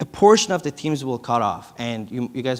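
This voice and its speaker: A man with a non-native accent speaks at a moderate pace with lively intonation and a medium pitch. The recording is very clean, with a silent background. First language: not English. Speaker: startup founder. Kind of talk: conference presentation. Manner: halting.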